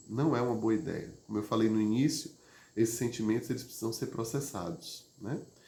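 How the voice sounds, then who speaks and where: Against audible room echo, a man speaks at a moderate pace in a calm tone, his medium-pitched voice dark, mellow and somewhat breathy, with ordinary pitch variation. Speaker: therapist or emotional wellbeing teacher. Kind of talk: live stream talk on emotions. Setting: online live stream. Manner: conversational with frequent fillers; calm, prosodic after exercise.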